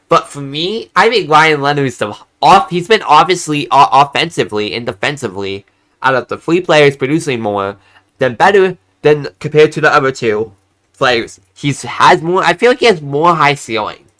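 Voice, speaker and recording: Bright and sharp in tone, a man's fairly high voice moves with lively intonation. He keeps a moderate pace. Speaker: hockey YouTuber. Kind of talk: solo commentary video. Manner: halting, repeats and stumbles.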